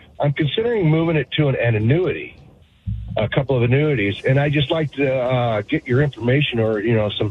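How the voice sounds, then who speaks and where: A man's unremarkable speaking voice at medium pitch, fairly quick in pace and very even in loudness. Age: 60s. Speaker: carpenter calling in. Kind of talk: radio call-in question.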